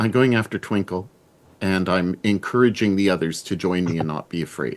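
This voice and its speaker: A booming voice moves at a fairly slow pace with ordinary pitch variation. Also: man. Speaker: roleplaying game player. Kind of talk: tabletop roleplaying session. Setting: live stream video call. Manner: loud.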